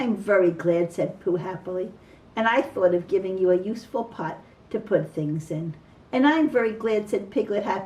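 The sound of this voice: An unforced reading voice carries this clip.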